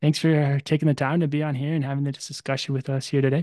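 In a dark, mellow tone, a man with an American accent and fairly high pitch speaks at a very fast pace with monotone, flat intonation. The sound is dry and close with no echo, and the background is quiet. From Arizona, US. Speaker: podcast host. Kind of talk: interview.

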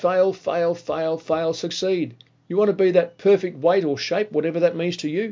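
Speaking at a moderate pace in an Australian accent, a man uses a high pitch with ordinary pitch variation. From Australia (Melbourne). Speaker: motivational podcast host. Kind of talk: motivational monologue. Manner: animated.

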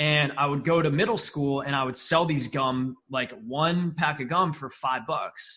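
A man with an ordinary speaking voice talks at a fairly slow pace, his pitch fairly high and its variation ordinary. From upstate New York. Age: 20s. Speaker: marketing agency founder. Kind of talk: podcast interview. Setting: remote video call.

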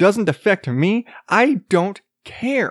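The intonation is lively. The recording is very clean with a silent background, and the sound is dry and close with no echo. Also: man. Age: 30s. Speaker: podcast host. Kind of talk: casual monologue. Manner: profane, rambling.

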